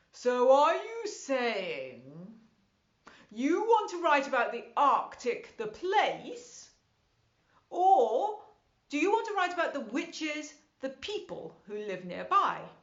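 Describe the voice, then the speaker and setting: A woman puts on a character voice at a high pitch with very wide pitch swings. Her pace is fairly slow. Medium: read story. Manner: grave, measured.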